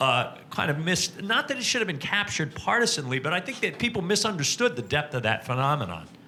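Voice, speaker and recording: Over noticeable background noise, a man speaks very fast at a fairly high pitch with very wide pitch swings. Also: hardly any pauses. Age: 60s. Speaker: audience member. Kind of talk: audience question.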